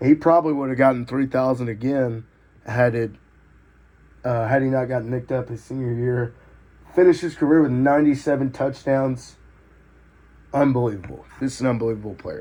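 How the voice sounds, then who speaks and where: At a fairly quick pace broken by long, frequent pauses, a man with an American accent speaks in a medium pitch with a dark, mellow tone and fairly even intonation. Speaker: podcast host. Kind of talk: casual sports commentary monologue. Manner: hesitant, many filler words.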